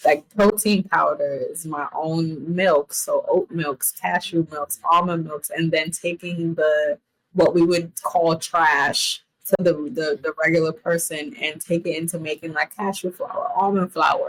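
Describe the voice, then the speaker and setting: With hardly any pauses, a woman speaks fairly slowly in an unremarkable speaking voice, fairly low and fairly even in pitch, recorded dry and close with no echo. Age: 20s. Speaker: chef. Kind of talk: casual chat. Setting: podcast interview.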